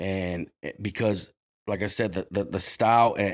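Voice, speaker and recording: A man with an American accent, fairly low in pitch, at a moderate pace with fairly even intonation, on a very clean recording with a silent background. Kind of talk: casual interview chat. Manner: halting, many restarts; usually loud and outgoing.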